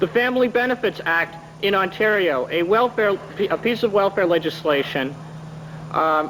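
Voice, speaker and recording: A man's high-pitched voice with lively intonation against noticeable background noise. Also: moderate pace. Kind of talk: formal testimony to a parliamentary committee. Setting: committee hearing room, archival 1980 recording.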